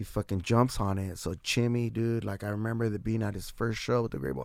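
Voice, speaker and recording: With an American accent, a man speaks at a moderate pace and medium pitch in an ordinary speaking voice. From San Diego, California. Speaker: musician. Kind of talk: casual chat.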